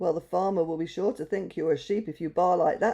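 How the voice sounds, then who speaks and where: A put-on character voice at a middle pitch moves along at a fairly quick pace. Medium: read story.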